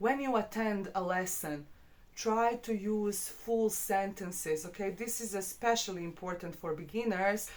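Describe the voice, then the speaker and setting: This woman has a medium pitch and ordinary pitch variation. She speaks with a non-native accent. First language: not English. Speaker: English teacher. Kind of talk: tutorial. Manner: hesitant, many fillers.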